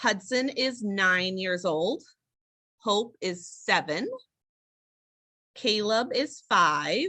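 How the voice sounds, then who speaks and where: With an American accent, a woman speaks very slowly in a fairly high pitch, her tone bright and sharp and her intonation lively. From Illinois, US Midwest. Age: 30s. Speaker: stay-at-home mom. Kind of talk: casual interview chat.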